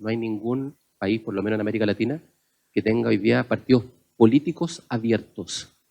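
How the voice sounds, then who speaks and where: Speaking with a Chilean accent at a fairly quick pace, a man has a dark, mellow tone, medium pitch, vocal fry, and fairly even intonation. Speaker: panelist on open government. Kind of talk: panel discussion talk.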